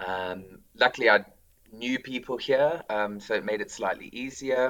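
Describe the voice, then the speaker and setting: In a South African accent, a man speaks at a moderate pace. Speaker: school drama teacher. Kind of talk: casual interview.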